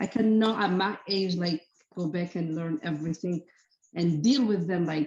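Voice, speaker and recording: Speaking with a non-native accent, a woman talks at a moderate pace in a fairly low voice with ordinary pitch variation. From outside the US. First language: not English. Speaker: daycare owner. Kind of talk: workshop Q&A. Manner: halting.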